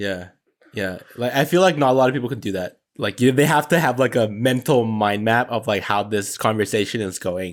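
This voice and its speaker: With a medium pitch and ordinary pitch variation, a man speaks at a fairly quick pace. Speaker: podcast co-host. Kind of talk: casual chat. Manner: loud.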